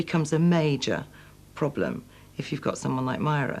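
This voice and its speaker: Speaking in a strong Manchester accent, the voice moves at a very fast pace. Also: woman. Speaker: former prison governor. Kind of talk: documentary interview.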